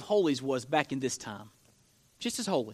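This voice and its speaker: In a very clean recording with a silent background, a man uses a raised, projected voice with a bright, sharp tone and very wide pitch swings. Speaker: pastor. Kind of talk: sermon. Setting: church. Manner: loud.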